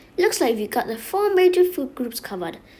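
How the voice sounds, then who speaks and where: A woman puts on a character voice pitched high, with very wide swings up and down. She talks at a fairly quick pace. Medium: read story. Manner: casual, chummy, calls customers honey and sweetie.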